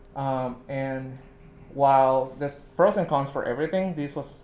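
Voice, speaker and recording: A man of medium pitch with a Puerto Rican accent and fairly even intonation. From Puerto Rico, southern rural part. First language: Spanish. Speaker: scientist, research associate. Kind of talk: talk to an audience.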